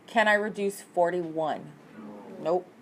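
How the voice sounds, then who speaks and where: A woman talks fairly slowly, her pitch varying in an ordinary way. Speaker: math teacher. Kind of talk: test review lesson.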